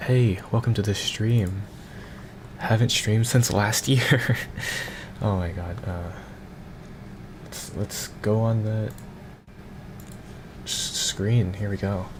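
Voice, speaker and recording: A man's fairly low voice at a fairly slow pace, with fairly even intonation over noticeable background noise. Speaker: streamer. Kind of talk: casual chat. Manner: halting.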